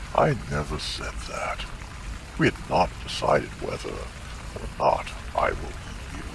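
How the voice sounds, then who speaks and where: Over loud background noise, a man performs in a put-on character voice. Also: fairly slow pace. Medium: audio drama. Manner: sly, deliberate.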